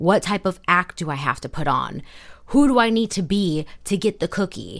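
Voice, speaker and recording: The tone is animated and the pace moderate. The recording is very clean, with a silent background. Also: woman. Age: 20s. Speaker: podcast host. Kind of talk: casual monologue.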